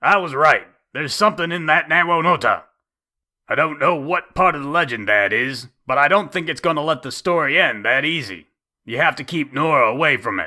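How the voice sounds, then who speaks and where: Using a put-on character voice, a man talks at a fairly quick pace with a fairly high pitch on a very clean recording with a silent background. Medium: read story. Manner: gruff, blunt.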